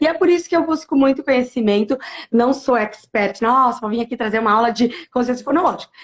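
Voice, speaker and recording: A woman talks at a very fast pace in a high pitch, with ordinary pitch variation. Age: 30s. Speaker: primary school teacher. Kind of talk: interview on teaching practice.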